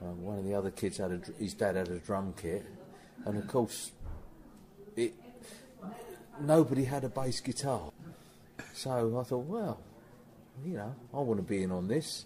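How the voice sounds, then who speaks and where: With an English accent and lively intonation, a man speaks at a medium pitch with long, frequent pauses over noticeable background noise. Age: 60s. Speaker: rock musician. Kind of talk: interview. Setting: backstage before a gig. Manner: hesitant, with repeated words.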